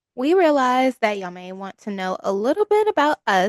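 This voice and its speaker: A Kentucky accent at a moderate pace, dry and close with no echo. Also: woman. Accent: Southern American (Kentucky). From US South, western Kentucky (Trigg County). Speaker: podcast co-host. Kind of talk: casual chat.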